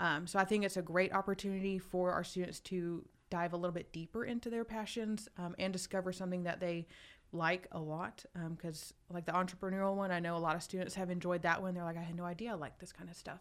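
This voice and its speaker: A woman with an American accent speaks at a very fast pace. Her fairly low voice is monotone and flat. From US South, Douglasville, Georgia. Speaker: college counselor. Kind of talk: radio interview. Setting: radio studio.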